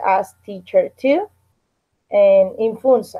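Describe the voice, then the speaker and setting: A woman is speaking. She has a Spanish accent. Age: 30s. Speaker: English student and teacher. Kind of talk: language class introduction. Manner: halting.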